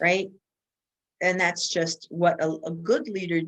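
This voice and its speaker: A woman speaks slowly-ish, at a fairly slow pace, with an American accent. Her pitch is fairly low and her intonation fairly even. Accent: Bronx accent, coming out at times. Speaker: keynote speaker and women's leadership expert. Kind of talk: podcast interview.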